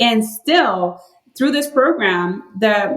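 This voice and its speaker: With a Spanish accent, a woman speaks at a fairly high pitch with lively intonation. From Puerto Rico. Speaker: health researcher. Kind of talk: podcast interview.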